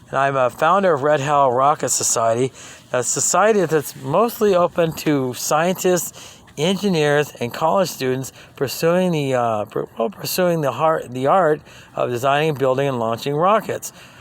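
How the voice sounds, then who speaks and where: A man's voice with ordinary pitch variation is heard through noticeable background noise. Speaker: rocket builder teaching a class. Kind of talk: video class tutorial. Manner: fast; halting, many fillers.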